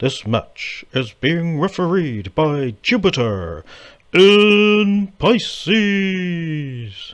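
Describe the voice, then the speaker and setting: A man's high-pitched, put-on character voice with very wide pitch swings, at a very slow pace. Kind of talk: ring announcer style. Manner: bombastic, showy.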